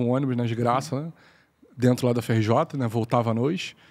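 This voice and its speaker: This man talks very fast, his pitch sitting at a medium level. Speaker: mathematics professor and bitcoin entrepreneur. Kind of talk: podcast interview. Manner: halting, many repetitions and fillers.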